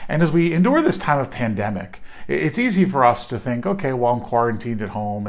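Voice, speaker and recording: With a quiet background, a man talks at a very fast pace with very wide pitch swings. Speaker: clergy or minister. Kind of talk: devotional reflection. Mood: warm, earnest. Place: home room. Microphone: phone near.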